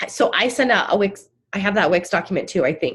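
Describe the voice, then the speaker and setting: A woman's somewhat breathy voice. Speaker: network marketing team leader. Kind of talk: training call. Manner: fast.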